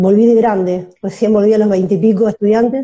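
Talking at a fairly quick pace, a woman has a fairly high pitch and a dark, mellow tone. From Argentina, La Plata. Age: 30s. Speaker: women's football player. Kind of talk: interview. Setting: video call livestream. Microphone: using headphones, initially quiet.

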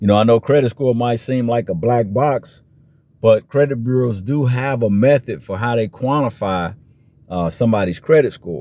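A man with an American accent speaks at a moderate pace. His medium-pitched voice has a dark, mellow tone and ordinary pitch variation. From US Midwest, Chicago area. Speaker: personal finance podcast host. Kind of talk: educational monologue. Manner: conversational, frequent filler 'you know'.

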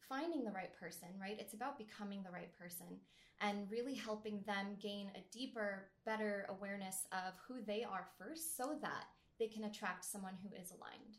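Moderate speed and a somewhat breathy quality from a woman. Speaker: dating coach. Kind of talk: interview conversation.

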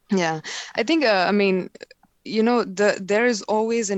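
A woman with an Indian accent at a moderate pace, with ordinary pitch variation. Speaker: technical marketing manager. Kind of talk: casual interview chat.

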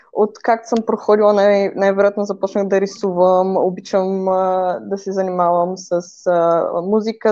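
The delivery moves at a moderate pace, monotone and flat in intonation, with a dark, mellow tone. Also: woman. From Bulgaria, Varna. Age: 20s. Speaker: filmmaker and video creator. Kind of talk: personal story interview.

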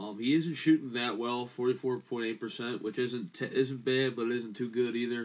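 A man speaks in a plain, everyday voice at a medium pitch. His pace is fairly slow, his intonation fairly even, and there are hardly any pauses. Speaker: sports podcast co-host. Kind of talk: casual sports banter.

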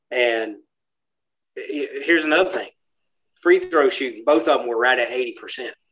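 Speaking at a fairly slow pace with an American accent, a man leaves long, frequent pauses. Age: 50s. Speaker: podcast co-host. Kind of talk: casual chat.

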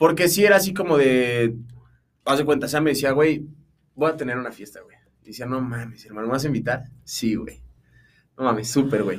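Amid audible room echo, a man with a Mexican accent and medium pitch talks at a fairly quick pace with ordinary pitch variation, big swings in loudness, and long, frequent pauses. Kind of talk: casual chat.

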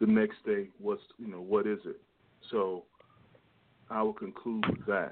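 Speaking at a fairly slow pace with long, frequent pauses, a man keeps a fairly low pitch and flat, monotone intonation. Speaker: caller. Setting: phone call.

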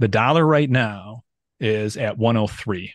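A man with an unremarkable speaking voice talks at a medium pitch with ordinary pitch variation, the sound dry and close with no echo. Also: quiet background. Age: 30s. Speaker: macro trader and finance channel creator. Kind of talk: casual chat.

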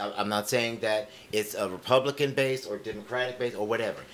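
A man's normal speaking voice, with ordinary pitch variation, proceeds at a moderate pace.

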